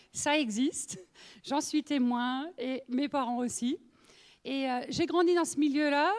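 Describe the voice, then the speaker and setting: In an Alsatian accent, a woman talks at a very slow pace with a high pitch and ordinary pitch variation. The recording is very clean, the background silent. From Alsace, France (northern, near Lorraine border). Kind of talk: testimony. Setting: women's meeting with audience. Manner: conversational, many fillers.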